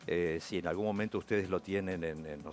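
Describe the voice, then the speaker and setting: With music in the background, a man speaks at a very deep, low pitch with ordinary pitch variation. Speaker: radio announcer (locutor). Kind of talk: interview answer.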